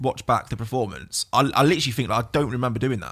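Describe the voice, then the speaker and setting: A man with an East Midlands accent, medium pitch, a bright, sharp tone and a very fast pace, on a very clean recording with a silent background. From Burton upon Trent, English East Midlands. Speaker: DJ and music producer. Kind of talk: casual chat. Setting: studio.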